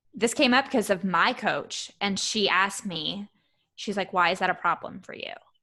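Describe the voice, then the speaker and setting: A woman speaks at medium pitch and a moderate pace, her tone bright and sharp, against a quiet background. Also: ordinary pitch variation. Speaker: coach. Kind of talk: casual interview chat. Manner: direct.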